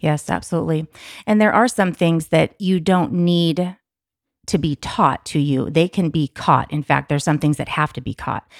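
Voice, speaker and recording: In a very clean recording with a silent background and a dry, close sound with no echo, a woman with an ordinary speaking voice speaks at a fairly low pitch with ordinary pitch variation. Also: moderate pace. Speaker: podcast co-host. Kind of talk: casual conversation.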